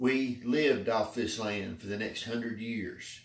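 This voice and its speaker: In an Appalachian accent, a man speaks fairly slowly at a medium pitch. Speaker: public speaking club member. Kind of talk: prepared speech.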